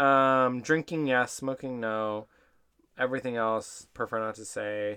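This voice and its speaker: Loud and bright with a sharp tone, a man talks at a fairly slow pace with fairly even intonation. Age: 20s. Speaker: podcast co-host. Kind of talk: casual chat. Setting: studio.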